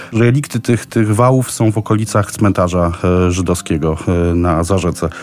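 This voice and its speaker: The man's pitch varies in an ordinary way as he talks at a moderate pace against noticeable background noise. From Poland, Kraków. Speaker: tour guide. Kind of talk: informal travel recommendations for radio.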